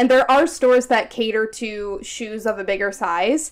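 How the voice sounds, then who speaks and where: Speaking in an unremarkable speaking voice, a woman uses an American accent and a fairly high pitch. She keeps a moderate pace with lively intonation. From United States. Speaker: podcast co-host. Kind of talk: casual chat.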